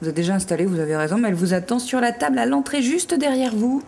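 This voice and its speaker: Over noticeable background noise, a woman with a medium-pitched voice talks at a very fast pace, her loudness very even while her pitch swings very widely. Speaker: TV voice-over commentator. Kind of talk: TV show host interview. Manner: casual, friendly.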